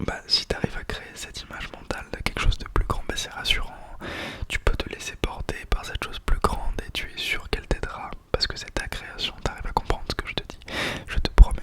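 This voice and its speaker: A man whispers at a fairly quick pace, with long, frequent pauses and big swings in loudness. Noticeable background noise runs underneath. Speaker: ASMR creator. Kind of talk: ASMR whispered talk to camera. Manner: whispered, soft, calming.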